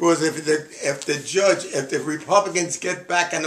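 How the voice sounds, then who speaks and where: Against noticeable background noise, a man talks at a moderate pace in a high pitch. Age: 80s+. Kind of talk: casual opinionated conversation.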